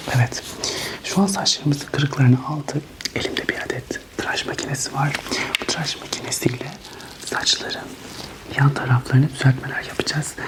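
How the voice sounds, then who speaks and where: Whispering at a fairly quick pace, broken by long, frequent pauses. Noticeable background noise runs underneath. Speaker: ASMR hairdresser role-play host. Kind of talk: ASMR role-play barber tutorial talk. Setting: binaural ASMR recording, headphones. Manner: whispered, soft.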